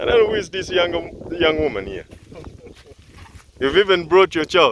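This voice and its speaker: Ordinary pitch variation in an Ugandan accent, with noticeable background noise. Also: man. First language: Luganda. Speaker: farm video presenter. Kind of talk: on-site interview. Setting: outdoors.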